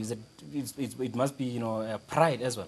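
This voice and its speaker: A man at a moderate pace, ordinary pitch variation, light background noise. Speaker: TV sports show host. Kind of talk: interview question. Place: studio. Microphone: lapel.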